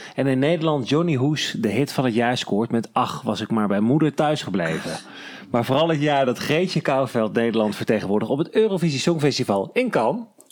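A normal speaking voice from a man at medium pitch, very even loudness, lively intonation and a fairly quick pace. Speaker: podcast host.

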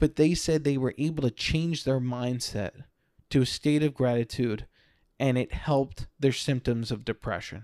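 In a dry, close recording with no echo, a man with a plain, everyday voice speaks at medium pitch with ordinary pitch variation. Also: moderate pace, very clean recording, silent background. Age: 30s. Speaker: podcast host. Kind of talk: solo monologue. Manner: casual.

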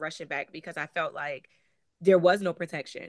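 This is a woman speaking. She has a Connecticut accent. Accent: northeastern US, Connecticut. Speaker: author and abuse survivor. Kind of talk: personal storytelling interview.

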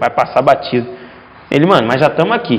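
The voice belongs to a man. Noticeable background noise runs throughout. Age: 20s. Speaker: futsal player. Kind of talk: casual interview chat.

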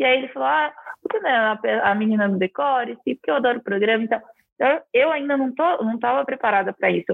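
A woman's fairly high, fairly quick voice with very wide pitch swings. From interior of São Paulo state, Brazil (Araraquara). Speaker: architect and TV decor presenter. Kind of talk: interview conversation.

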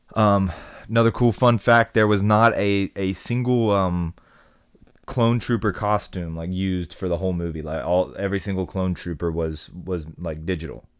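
Ordinary pitch variation shapes a man's speech, delivered at moderate speed. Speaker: podcast host. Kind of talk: casual chat.

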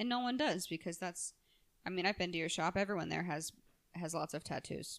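A woman with a fairly low pitch and ordinary pitch variation speaks in an ordinary speaking voice. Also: fairly quick pace. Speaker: podcast host. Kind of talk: casual interview chat.

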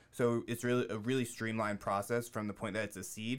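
Very fast speech comes from a man with a fairly low pitch. His intonation stays fairly even. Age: 30s. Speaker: cannabis entrepreneur. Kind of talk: casual interview.

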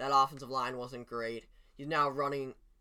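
Intonation stays fairly even, carried by a bright, sharp tone. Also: man. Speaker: sports podcast co-host. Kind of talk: casual sports chat. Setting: studio.

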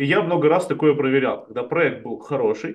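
At a moderate pace, a man with a fairly high pitch talks in an ordinary speaking voice. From Chelyabinsk, Russia. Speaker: startup community founder. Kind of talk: casual interview chat. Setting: video call.

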